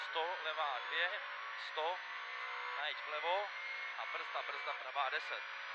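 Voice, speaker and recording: Long, frequent pauses, loud background noise and a dry sound with no echo. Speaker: rally co-driver. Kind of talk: rally co-driver pace notes read out in a rapid stream. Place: car. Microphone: headset.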